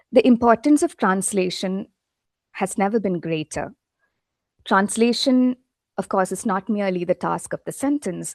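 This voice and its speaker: A woman with a Keralan accent speaks with long, frequent pauses. The sound is dry and close with no echo, over a quiet background. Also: medium pitch for a woman, ordinary pitch variation, moderate pace. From India, Kerala. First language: Malayalam. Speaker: literary translator and English professor. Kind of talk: academic lecture. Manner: halting, many fillers.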